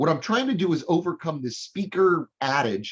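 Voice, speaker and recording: With vocal fry and a fairly high pitch, a man swings his voice very widely up and down. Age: 60s. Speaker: hiring consultant and speaker. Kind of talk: business presentation. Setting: live-streamed chamber meeting.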